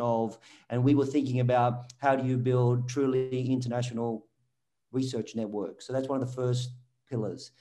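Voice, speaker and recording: Here a man talks at a moderate pace. His medium pitch carries a dark, mellow tone. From Australia. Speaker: social scientist, research network executive. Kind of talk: interview. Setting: video call.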